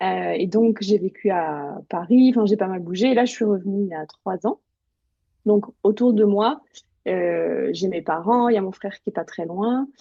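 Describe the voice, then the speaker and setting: At a fairly slow pace, a woman with an unremarkable speaking voice speaks at a medium pitch with ordinary pitch variation. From eastern France, Bresse (Burgundy). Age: 30s. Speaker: journalist and writer. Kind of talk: interview.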